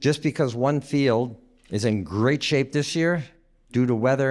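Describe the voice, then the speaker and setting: This man has a normal speaking voice at a medium pitch. His pace is moderate, and his pitch varies in an ordinary way. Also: very clean recording, silent background. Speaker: former pastor, guest preacher. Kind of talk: sermon.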